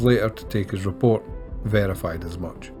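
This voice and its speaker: With a strong Scottish accent, a man speaks at a medium pitch and a fairly quick pace, his pitch varying in an ordinary way over music in the background. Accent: broad Scottish. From Scotland. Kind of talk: audiobook narration.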